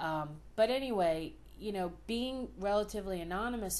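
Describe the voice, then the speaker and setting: With a strong Philadelphia accent, a woman talks with ordinary pitch variation in a room with audible echo. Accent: thick Philadelphia. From US Northeast, Philadelphia. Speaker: vlogger. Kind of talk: personal video diary. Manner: casual, with frequent fillers.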